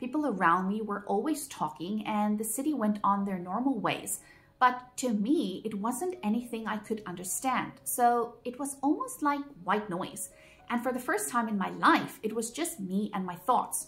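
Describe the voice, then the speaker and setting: Delivered at a moderate pace with lively intonation, the voice has a non-native accent and music plays in the background. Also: woman, fairly high pitch for a woman. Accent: noticeable foreign accent in English. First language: Afrikaans. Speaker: vlogger. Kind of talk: personal vlog monologue.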